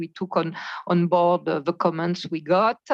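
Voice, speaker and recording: The background is quiet. A woman speaks at a fairly low pitch. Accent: French. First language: French. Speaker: standards board member. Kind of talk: meeting presentation. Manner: halting.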